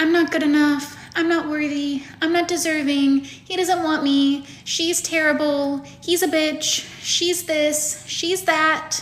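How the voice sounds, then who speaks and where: A woman puts on a whiny character voice with a high pitch and monotone, flat intonation. She goes at a fairly slow pace over light background noise. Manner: self-pitying.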